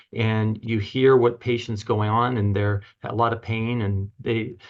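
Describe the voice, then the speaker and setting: A man at a medium pitch and a moderate pace. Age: 60s. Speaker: chiropractor and author. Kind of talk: podcast interview. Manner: halting.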